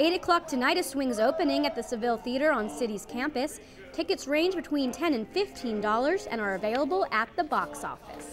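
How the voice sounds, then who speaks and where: A woman speaks fairly quickly in a high voice with lively intonation. Music plays in the background. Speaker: news reporter and anchor. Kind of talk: TV news anchor and field reporter delivery.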